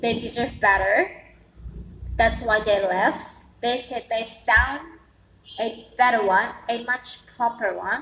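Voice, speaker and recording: Over noticeable background noise, a woman with an Indonesian accent speaks at a very slow pace with long, frequent pauses, a fairly high pitch and fairly even intonation. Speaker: vlogger, international student. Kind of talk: casual vlog monologue. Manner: halting, many repetitions and fillers.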